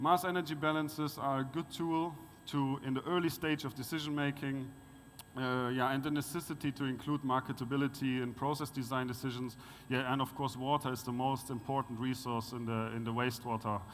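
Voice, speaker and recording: A man with a German accent, medium pitch, fairly quick pace and fairly even intonation. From Germany. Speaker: conference speaker on wastewater resource recovery. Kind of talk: conference presentation. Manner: halting, many fillers.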